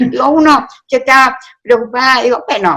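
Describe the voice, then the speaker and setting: At a moderate pace, a woman talks in a bright, sharp tone. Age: 70s. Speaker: writer. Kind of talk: interview conversation.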